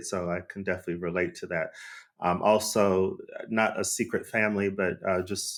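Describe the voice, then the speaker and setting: A man with an American accent speaks at a fairly low pitch and a moderate pace in a monotone, flat intonation, recorded very cleanly against a silent background. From Arizona, USA. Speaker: podcast host. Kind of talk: casual conversation.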